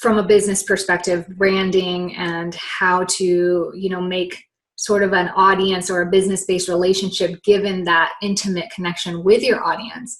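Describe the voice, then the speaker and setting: Her pitch is medium for a woman. She talks at a moderate speed. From immigrant to an English-speaking country. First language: not English. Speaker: health and meditation coach. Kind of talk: podcast interview.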